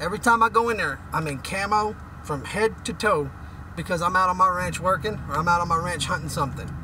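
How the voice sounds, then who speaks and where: A man's high-pitched, animated voice with lively intonation at a fairly quick pace, over noticeable background noise. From West Texas, Midland. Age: 30s. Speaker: oil and gas worker, vlogger. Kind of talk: opinion rant.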